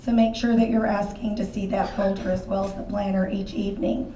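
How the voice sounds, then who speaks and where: Audible room echo surrounds a woman speaking with monotone, flat intonation. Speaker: elementary school teacher. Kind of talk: parent orientation talk.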